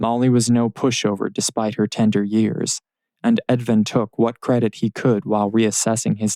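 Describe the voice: A plain read-aloud delivery with fairly even intonation, set against a quiet background.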